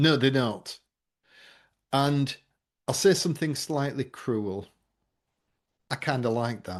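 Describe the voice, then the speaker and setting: A man with an English accent, medium-pitched, at a very slow pace with long, frequent pauses. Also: ordinary pitch variation, quiet background. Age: 50s. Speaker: memory trainer and presentation coach. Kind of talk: podcast interview.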